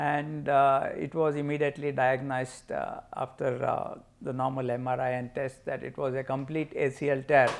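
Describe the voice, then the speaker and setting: At a moderate pace, a man speaks with hardly any pauses. His fairly high voice has a monotone, flat intonation. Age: 60s. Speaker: patient, amateur badminton player. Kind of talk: testimony. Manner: halting, frequent uh fillers.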